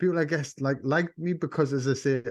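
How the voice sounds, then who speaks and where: A man with a Geordie accent, dry, close sound with no echo, and a quiet background. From northern England, Sunderland. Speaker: music label owner and artist manager. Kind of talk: interview. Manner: animated.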